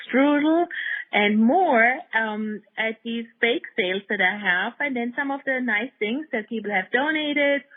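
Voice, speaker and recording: Very slow speech from a woman with a German accent, fairly high pitch and lively intonation. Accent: German accent, lasting. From Germany. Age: 60s. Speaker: dog rescue nonprofit founder. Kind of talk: interview conversation.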